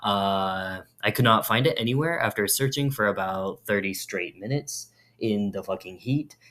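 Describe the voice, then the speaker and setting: A man mumbles at a fairly low pitch with ordinary pitch variation. His tone is bright and sharp. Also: moderate pace, very clean recording, silent background. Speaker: vlogger. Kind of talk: casual chat. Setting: bathroom. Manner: mumbling; soft-spoken.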